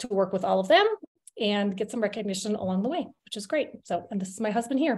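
At a very fast pace, a woman talks in a somewhat breathy voice. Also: ordinary pitch variation. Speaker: presenter. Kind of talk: webinar presentation. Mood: friendly, upbeat. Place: home room. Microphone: webcam.

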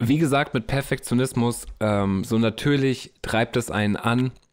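On a very clean recording with a silent background, a man with an ordinary speaking voice talks at a medium pitch and a fairly slow pace, with very even loudness, ordinary pitch variation and hardly any pauses. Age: 30s. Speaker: podcast host and musician. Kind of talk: casual solo podcast monologue. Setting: home studio.

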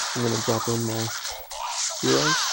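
Loud background noise fills the clip. The sound is dry, with no echo. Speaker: mobile gamer. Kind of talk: casual gameplay commentary. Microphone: phone near.

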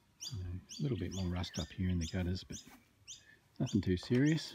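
A man talks at a moderate pace. The sound is dry with no echo, though there is noticeable background noise. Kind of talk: casual vlog chat. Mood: dry, joking. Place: garden. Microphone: phone near.

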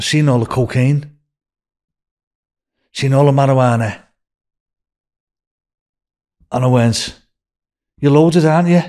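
A man talks at a slow pace with long, frequent pauses, his medium pitch carrying ordinary pitch variation and a slightly mellow tone.

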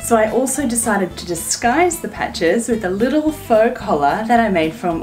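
Clear music sits in the background while a woman talks at a moderate pace. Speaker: sewing instructor. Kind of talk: tutorial. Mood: cheerful, friendly. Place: home room.

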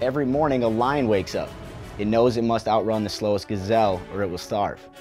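Faint music plays in the background as a man speaks at a fairly quick pace. His pitch is fairly low and the sound is dry with no echo. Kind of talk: promotional explainer to camera. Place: studio.

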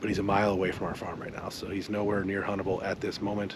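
A man speaks in a low pitch. His pace is fairly quick.

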